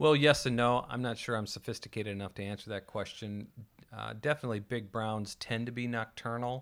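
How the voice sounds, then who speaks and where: A man with an American accent and an unremarkable speaking voice talks at a fairly quick pace. His pitch is medium and his intonation fairly even. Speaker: podcast host. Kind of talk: casual chat.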